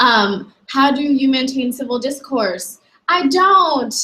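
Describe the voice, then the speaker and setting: Loud and lively in intonation, a woman with a high pitch and an American accent speaks at a fairly slow pace. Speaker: university staff member. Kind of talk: online talk. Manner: frequent fillers (um); loud, passionate.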